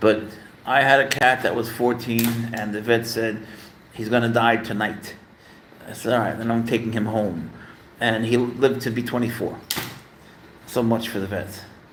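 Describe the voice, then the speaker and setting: Amid noticeable background noise and audible room echo, a man speaks at a moderate pace, pausing long and often. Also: medium pitch for a man. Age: 60s. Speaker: pet livestreamer. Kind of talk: casual live stream chat. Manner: animated.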